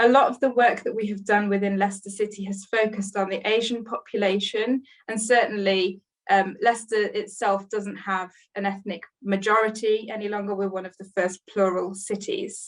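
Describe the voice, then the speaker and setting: A woman speaks at a medium pitch. Her loudness swings widely. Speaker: NHS leader presenting at a webinar. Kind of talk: webinar presentation. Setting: online webinar. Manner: fast.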